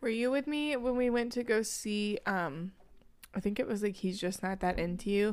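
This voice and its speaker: A woman with a plain, everyday voice speaks at a moderate pace and a fairly high pitch, with ordinary pitch variation. Her loudness stays very even in a very clean recording with a silent background. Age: 20s. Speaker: podcast co-host. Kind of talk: casual chat.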